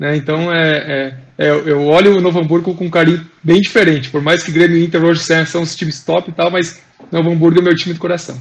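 Talking very fast in a Gaúcho Brazilian accent, a man with a high pitch keeps his intonation monotone and flat. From Rio Grande do Sul, Brazil. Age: 30s. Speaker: professional football defender. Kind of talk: casual interview chat. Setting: video call.

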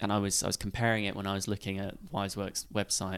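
A man with a fairly low pitch speaks at a fairly quick pace in an ordinary speaking voice, on a very clean recording with a silent background. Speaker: podcast host. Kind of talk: interview, casual conversation.

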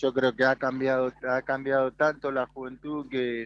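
In a Rioplatense accent, a man talks at a very slow pace with medium pitch and monotone, flat intonation, the sound dry and close with no echo. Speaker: former footballer and coach. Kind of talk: radio interview.

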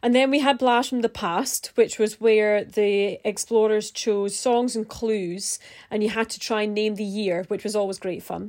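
A woman with a plain, everyday voice speaks at a fairly high pitch and a moderate pace, with hardly any pauses. The recording is very clean, with a silent background. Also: fairly even intonation. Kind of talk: podcast hosting, interview intro.

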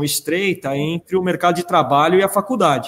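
A man's high-pitched voice. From Canada. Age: 40s. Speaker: entrepreneur and school founder. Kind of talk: panel discussion. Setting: video call.

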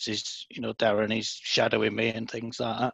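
This man speaks at a medium pitch in a Lincolnshire accent. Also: quiet background. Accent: northern English (Lincolnshire). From northern England, Scunthorpe. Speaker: author in recovery from alcohol. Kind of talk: casual interview chat.

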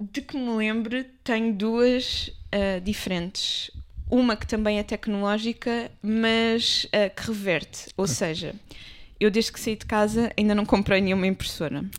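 With a normal speaking voice, a woman talks at a fairly slow pace in a fairly high pitch with big swings in loudness, on a very clean recording with a silent background. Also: fairly even intonation. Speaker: podcast co-host. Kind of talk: casual chat.

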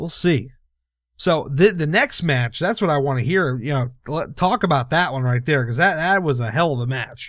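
A man speaks in a normal speaking voice at a moderate pace, with lively intonation and a fairly high pitch. The recording is very clean, with a silent background. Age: 30s. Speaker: wrestling podcast host. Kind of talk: casual chat.

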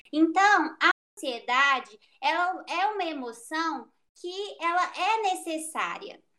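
A woman speaks in an extremely high voice with a bright, sharp tone. Her voice is raised and projected, and her pace is very slow. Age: 20s. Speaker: psychology student. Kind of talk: casual interview. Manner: halting.

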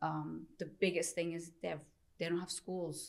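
A woman with a normal speaking voice talks at a moderate pace with fairly low pitch, on a very clean recording with a silent background. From Istanbul, Turkey; moved to US at eleven. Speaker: real estate agent, charity organizer. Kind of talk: casual chat.

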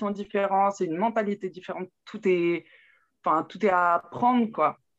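This woman has a normal speaking voice with a medium pitch. She keeps a moderate pace and fairly even intonation. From Burgundy, France (Saône-et-Loire). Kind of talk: interview testimony.

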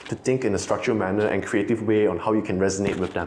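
A man talks at a fairly low pitch with fairly even intonation. Noticeable background noise runs beneath him. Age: 20s. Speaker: marketing professional. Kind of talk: casual chat.

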